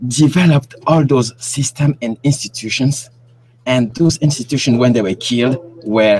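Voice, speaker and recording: The voice is somewhat breathy, with a French accent, ordinary pitch variation and a moderate pace. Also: man, medium pitch for a man. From Cameroon. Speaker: independent researcher. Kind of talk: interview. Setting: live stream. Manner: halting.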